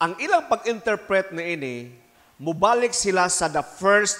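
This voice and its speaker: Animated in tone, a man speaks with lively intonation and a high pitch. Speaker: priest. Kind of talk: homily at a midweek church service, Bisaya-English mix, scripture reading then teaching. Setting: church with congregation. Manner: earnest, exhortative, directly addressing the congregation. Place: church. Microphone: handheld.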